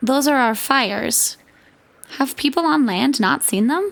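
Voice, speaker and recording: This is a put-on character voice with a hissing sound. It moves at a moderate pace. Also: woman, high pitch for a woman. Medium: audio drama.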